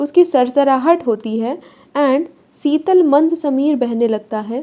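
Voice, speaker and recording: At a very slow pace, a woman with a high pitch and a dark, mellow tone speaks with ordinary pitch variation. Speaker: online tutor. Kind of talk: lecture. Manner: conversational, repetitive explaining.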